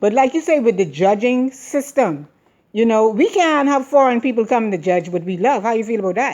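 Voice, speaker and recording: Her tone is animated, and she talks at a fairly quick pace. This woman's voice sits fairly high and swings very widely in pitch. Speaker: interviewer. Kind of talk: street interview.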